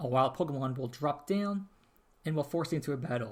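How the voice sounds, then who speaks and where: A man with a fairly high pitch speaks in a somewhat breathy voice with lively intonation. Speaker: podcast host. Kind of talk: casual podcast talk.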